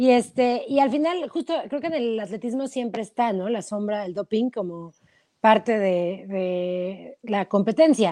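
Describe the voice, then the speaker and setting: Her fairly high, dark, mellow voice carries lively intonation as the woman speaks at a fairly slow pace. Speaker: sports podcast co-host. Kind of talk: casual chat. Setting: live stream.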